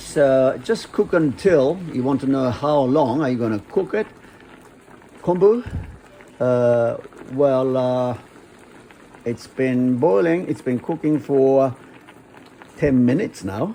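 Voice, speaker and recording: With a Japanese accent, a man talks at a very slow pace, leaving long, frequent pauses. His medium-pitched voice has lively intonation, and background noise is noticeable. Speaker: chef and restaurant owner. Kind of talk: cooking tutorial. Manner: halting.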